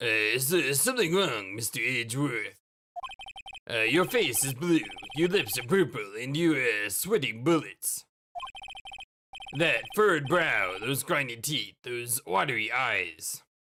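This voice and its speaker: Using a put-on character voice, a man speaks at a medium pitch and a fairly slow pace, with lively intonation and long, frequent pauses. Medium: game stream. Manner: hesitant, stammering.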